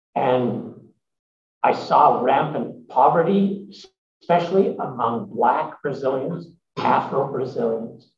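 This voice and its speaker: Very slow speech from a man with a fairly high pitch, lively intonation and long, frequent pauses, plus audible room echo. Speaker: emeritus professor and social entrepreneur. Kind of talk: interview answers at a symposium. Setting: stage with audience. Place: meeting room. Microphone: podium.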